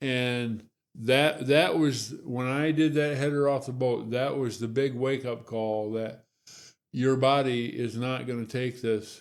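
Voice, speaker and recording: This man has a plain, everyday voice at medium pitch, with fairly even intonation and a fairly slow pace. The recording is very clean, with a silent background. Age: 60s. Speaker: Parkinson's patient sharing his story. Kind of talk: interview testimony.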